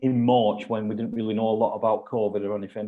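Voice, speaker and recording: A man in a Lancashire accent talks at a fairly quick pace with a medium pitch. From northern England, Lancashire. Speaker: football club executive. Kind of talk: testimony.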